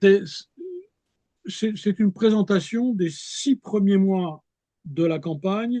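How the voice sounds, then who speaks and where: A man speaks in a high pitch with a dark, mellow tone and ordinary pitch variation. The sound is dry and close, with no echo. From France. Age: 70s. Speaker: historian. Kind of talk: interview. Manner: halting.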